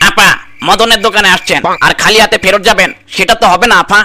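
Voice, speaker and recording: A man does a cartoonish character voice pitched high. He delivers it at a fairly quick pace. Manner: chatty, teasing.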